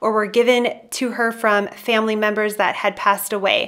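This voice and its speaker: A normal speaking voice at a moderate pace. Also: woman. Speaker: YouTuber, decluttering channel host. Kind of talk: casual vlog with voiceover narration.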